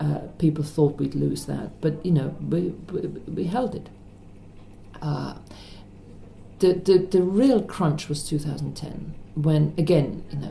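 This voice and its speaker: Long pauses come often as a woman speaks at a very slow pace. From Germany. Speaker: politician, member of parliament. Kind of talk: interview answer. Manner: quiet, confident.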